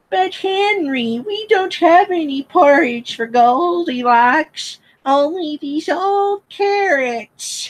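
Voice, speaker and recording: Very slowly and with hardly any pauses, the speaker uses a put-on character voice pitched high. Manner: cartoonish.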